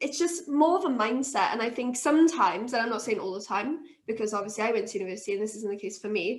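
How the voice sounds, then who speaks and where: A woman with a Welsh accent and lively intonation. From Wales, Swansea. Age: 20s. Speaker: brewery co-founder. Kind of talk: interview.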